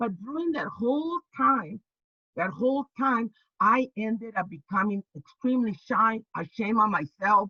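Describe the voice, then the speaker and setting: In a dry, close recording with no echo, a woman with a fairly high, bright, sharp voice speaks at a moderate pace with lively intonation. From Texas (El Paso), then Sonoma County, California. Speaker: labor organizer and activist. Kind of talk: interview conversation. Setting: video call. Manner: halting, with frequent repetitions.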